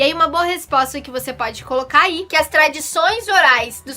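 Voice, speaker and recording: A woman with a high pitch projects a raised voice at a moderate pace. Music plays in the background. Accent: Curitiba. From southern Brazil. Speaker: primary school teacher. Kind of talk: recorded online lesson.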